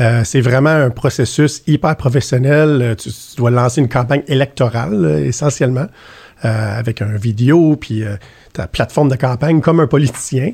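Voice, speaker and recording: With a Quebec accent, a man speaks at a fairly quick pace and medium pitch, his tone dark and mellow, somewhat breathy, with ordinary pitch variation. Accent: Canadian French. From Ottawa. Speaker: banking executive. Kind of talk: interview.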